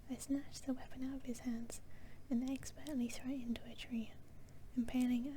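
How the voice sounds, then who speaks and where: With a British accent, a woman speaks in a high, flat monotone at a moderate pace over noticeable background noise. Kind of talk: story reading. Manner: soft-spoken.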